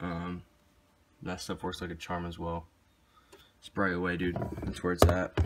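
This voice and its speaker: Delivery comes at a moderate pace with monotone, flat intonation, long, frequent pauses and big swings in loudness. Noticeable background noise is audible. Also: man, very deep, low pitch for a man. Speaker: car vlogger. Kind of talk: vlog. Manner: casual, filler-heavy.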